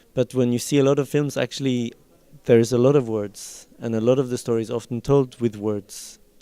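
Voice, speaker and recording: In a Norwegian accent, a man speaks at a fairly quick pace with a medium pitch, a dark, mellow tone and monotone, flat intonation. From Norway. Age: 40s. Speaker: film director. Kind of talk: interview. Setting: film festival. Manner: halting.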